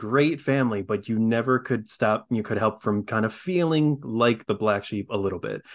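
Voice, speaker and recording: Against a quiet background, someone with an American accent speaks at a moderate pace with hardly any pauses and ordinary pitch variation. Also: man, medium pitch for a man. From New York. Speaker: voice actor and acting coach. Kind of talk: casual chat. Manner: halting, many fillers.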